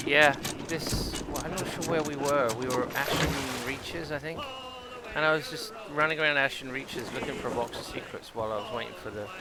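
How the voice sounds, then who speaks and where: A man with a southern British accent talks at a fairly quick pace, with audible room echo and noticeable background noise. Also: fairly high pitch for a man, ordinary pitch variation. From southern England. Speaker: gaming streamer. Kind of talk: casual gameplay commentary. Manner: casual, halting with fillers.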